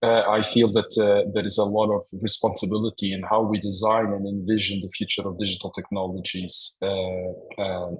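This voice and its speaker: A man with a Madeiran accent speaks at a moderate pace in a fairly low pitch, his intonation monotone and flat, with noticeable background noise. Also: hardly any pauses. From Portugal, Madeira. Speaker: professor. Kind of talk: webinar presentation. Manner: halting, many fillers and repeats.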